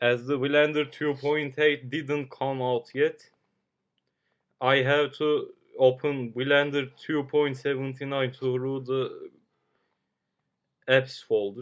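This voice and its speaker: Very slowly and with long, frequent pauses, a man at a fairly high pitch talks in a monotone, flat intonation. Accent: Turkish. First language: Turkish. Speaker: amateur 3D modeler streamer. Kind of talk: live stream tutorial. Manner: halting.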